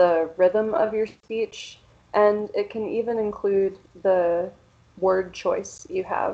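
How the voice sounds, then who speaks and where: With an American accent, a woman speaks very slowly at a medium pitch, her pitch varying in an ordinary way. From Central Pennsylvania, US. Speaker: English teacher. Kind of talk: workshop presentation.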